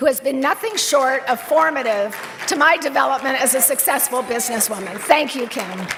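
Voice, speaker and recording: A woman with an American accent talks in a high, animated voice at a moderate pace. Noticeable background noise runs underneath. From San Francisco Bay Area. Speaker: business executive receiving award. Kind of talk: acceptance speech. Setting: stage with audience at awards dinner.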